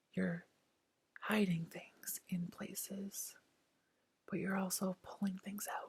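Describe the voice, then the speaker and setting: The voice is soft-spoken and soothing. It moves at a fairly slow pace. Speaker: tarot reader. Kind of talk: ASMR tarot reading, soft speaking and whisper. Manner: soft-spoken, soothing.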